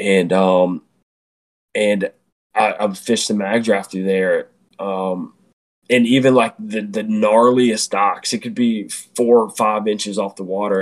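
Fairly low in pitch and fairly slow, the man talks with an American accent in a monotone, flat intonation. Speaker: bait builder and tournament angler. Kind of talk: casual chat. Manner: halting, many repeated words and fillers.

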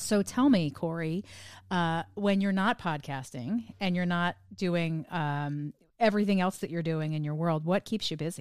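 A woman with an American accent speaks slowly-ish, at a fairly low pitch with ordinary pitch variation, in a very clean recording with a silent background. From New Jersey. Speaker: podcast host. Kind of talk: interview conversation, casual.

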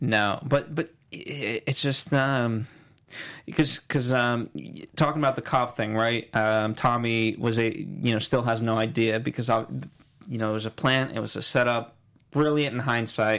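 On a very clean recording with a silent background, a man with an American accent uses a normal speaking voice at medium pitch, with fairly even intonation and a fairly slow pace. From New York, the Bronx. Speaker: TV aftershow host. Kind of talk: casual TV recap chat.

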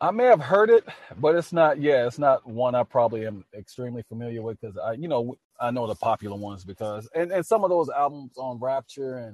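With a plain, everyday voice, a man speaks in an American accent at a medium pitch and a fairly quick pace, with ordinary pitch variation and a dry, close sound with no echo. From US South, New Orleans, Louisiana. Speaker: singer-songwriter and army veteran. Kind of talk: casual interview.

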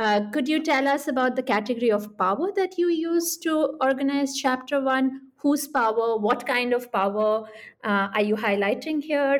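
Moderate pace with ordinary pitch variation and hardly any pauses. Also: woman, high pitch for a woman. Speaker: podcast host and professor. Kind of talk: interview.

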